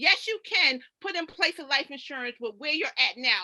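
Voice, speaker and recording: A woman with an American accent speaks in a raised, projected voice. Her tone is animated, bright and sharp. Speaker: financial coach. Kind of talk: presentation. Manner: fast.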